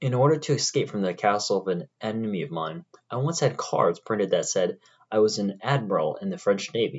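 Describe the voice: It is plain reading aloud against a quiet background.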